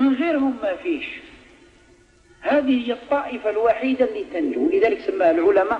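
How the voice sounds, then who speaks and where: The speaker talks at a moderate pace in an Algerian accent, the pitch swinging very widely. Music plays in the background. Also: man. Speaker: Islamic preacher. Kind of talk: religious lesson in a mosque. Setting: mosque.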